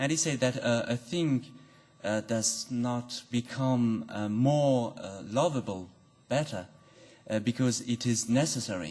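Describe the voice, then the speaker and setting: A man with a non-native accent speaks at a fairly slow pace, his pitch sitting in the medium range. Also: ordinary pitch variation. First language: not English. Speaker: audience member at philosophy talk. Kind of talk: academic Q&A question. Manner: halting.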